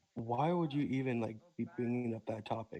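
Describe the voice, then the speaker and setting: With a dark, mellow tone, a man talks at a moderate pace and ordinary pitch variation. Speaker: caller on a debate stream. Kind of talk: heated debate.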